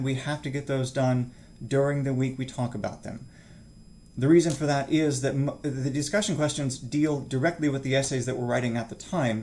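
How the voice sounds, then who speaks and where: Audible room echo surrounds a man speaking at a fairly high pitch with fairly even intonation. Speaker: college instructor. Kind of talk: online course introduction lecture. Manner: fast, rushed; casual, with filler words.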